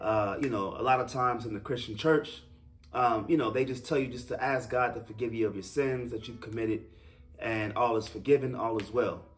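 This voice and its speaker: Over faint music in the background, a man speaks at a fairly quick pace with fairly even intonation. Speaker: religious teacher. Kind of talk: sermon-style teaching talk. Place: home room. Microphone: camera far.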